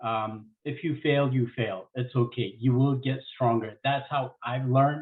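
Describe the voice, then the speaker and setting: A man's medium-pitched voice with a non-native accent, fairly even intonation, a fairly slow pace and hardly any pauses. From Ethiopia. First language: not English. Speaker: advertising professional. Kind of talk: panel discussion.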